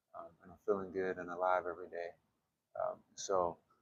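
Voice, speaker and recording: A quiet male voice can be heard. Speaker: qigong instructor. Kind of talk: guided exercise class. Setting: gym while traveling. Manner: hesitant, many fillers.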